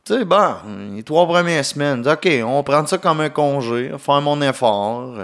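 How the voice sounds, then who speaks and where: A man's fairly high, animated voice in a Quebec accent, fairly slow, with lively intonation, in a very clean recording with a silent background. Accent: Québécois. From Quebec, Gatineau area. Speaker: comedian, podcast host. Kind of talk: casual solo podcast monologue. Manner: animated, laughing often.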